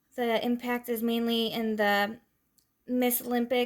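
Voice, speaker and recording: On a very clean recording with a silent background, a woman speaks in a fairly high pitch with monotone, flat intonation. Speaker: student presenter. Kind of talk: class presentation. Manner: hesitant, many fillers.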